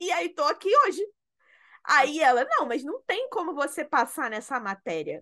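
Over a quiet background, a woman speaks fairly slowly at an extremely high pitch. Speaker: podcast co-host, interior designer. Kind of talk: casual chat. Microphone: new microphone.

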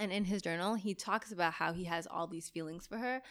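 A woman's ordinary speaking voice at a fairly quick pace with ordinary pitch variation, in a very clean recording against a silent background. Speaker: podcast host and photographer. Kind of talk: casual chat.

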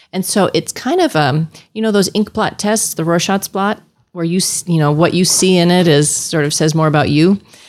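A woman with an unremarkable speaking voice, fairly low in pitch, with ordinary pitch variation at a moderate pace. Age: 50s. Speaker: family physician. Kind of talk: casual interview.

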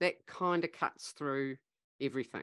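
Recorded with a dry, close sound with no echo and a quiet background, a woman with a New Zealand accent has a bright, sharp tone. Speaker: leadership facilitator and business founder. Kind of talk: interview conversation.

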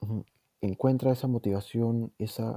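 With a Peruvian accent, a man talks at a moderate pace in a monotone, flat intonation. His dark, mellow tone comes through a dry, close sound with no echo. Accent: Peruvian Spanish (Lima). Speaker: podcast host. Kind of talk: casual chat.

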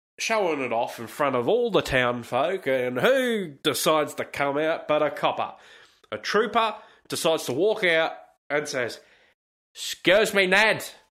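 A man with an Australian accent and a bright, sharp tone, fairly high in pitch with very wide pitch swings, at a fairly slow pace with long, frequent pauses, in a very clean recording with a silent background. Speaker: podcast host. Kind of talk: casual solo monologue.

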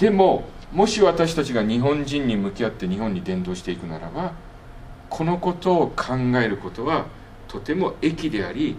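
Audible room echo surrounds a man speaking at a moderate pace. His fairly high voice swings very widely in pitch. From Japan. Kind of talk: lecture. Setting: workshop with audience.

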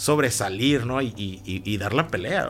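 An unremarkable speaking voice with lively intonation comes at a moderate pace over a very clean recording with a silent background. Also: man. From Mexico, Hermosillo, Sonora. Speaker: entrepreneur. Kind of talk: interview conversation. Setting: studio.

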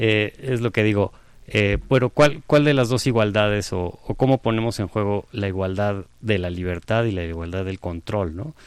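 This man has a plain, everyday voice, fairly low in pitch. He speaks at a fairly slow pace with ordinary pitch variation. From Mexico. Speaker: architect and professor. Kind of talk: conversational interview.

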